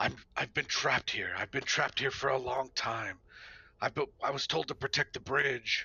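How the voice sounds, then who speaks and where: A raspy put-on character voice from a man, medium pitch, moderate pace. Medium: actual play. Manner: hesitant, stammering.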